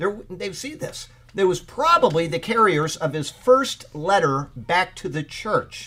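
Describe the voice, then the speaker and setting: Raising and projecting his voice, a man with a high pitch speaks at a very slow pace with lively intonation. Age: 50s. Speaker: Bible teacher. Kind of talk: Bible study teaching. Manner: casual, chatty.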